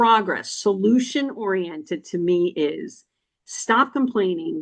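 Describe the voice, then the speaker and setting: A woman's medium-pitched voice in a New Jersey accent, with an animated tone and ordinary pitch variation. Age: 60s. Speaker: financial podcast host, chamber member. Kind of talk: interview. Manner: halting.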